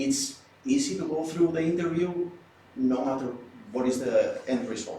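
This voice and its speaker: With a Spanish accent, a man speaks at a moderate pace, fairly high in pitch, with lively intonation and long, frequent pauses. Noticeable background noise and audible room echo fill the recording. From Spain. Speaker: law student. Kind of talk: group discussion.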